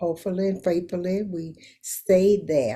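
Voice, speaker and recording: A woman with a Southern US accent talks in a dark, mellow tone. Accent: Southern American. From Louisiana. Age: 80s+. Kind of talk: interview answer.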